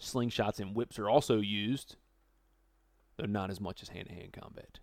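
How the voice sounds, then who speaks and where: The animated tone moves at a moderate pace in a very clean recording with a silent background. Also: man. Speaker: podcast co-host. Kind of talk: casual banter, comedy podcast. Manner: joking, animated, does voices.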